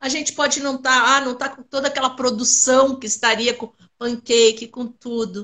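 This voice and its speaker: A woman speaks at a moderate pace in a raised, projected voice, her pitch high and her tone bright and sharp. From southern Brazil, Rio Grande do Sul (Pelotas). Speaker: Alzheimer awareness collective founder. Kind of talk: interview.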